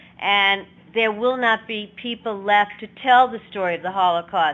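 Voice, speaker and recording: A woman speaks at a moderate pace. Her pitch is fairly high and her intonation fairly even. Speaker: Holocaust educator. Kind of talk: educational talk. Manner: teacherly, measured.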